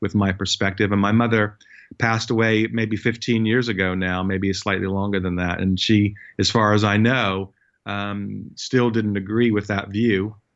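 He is a man with a normal speaking voice and an American accent. His pitch is fairly low, and his pace is moderate. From US. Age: 50s. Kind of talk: testimony.

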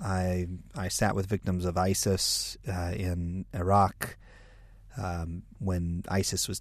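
With an American accent, a man speaks in a very deep, low pitch. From United States. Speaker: podcast co-host, evangelical leader. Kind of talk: interview.

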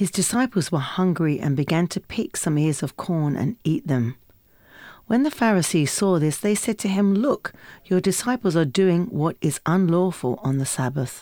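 The tone is dark and mellow. The pace is moderate. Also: woman. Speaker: Bible reader. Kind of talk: reading aloud.

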